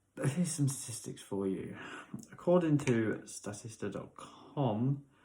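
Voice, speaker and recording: At a fairly slow pace, a man with a British accent speaks at a medium pitch in a dark, mellow, somewhat breathy tone. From UK. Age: 30s. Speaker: chef and news commentator. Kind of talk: opinion commentary.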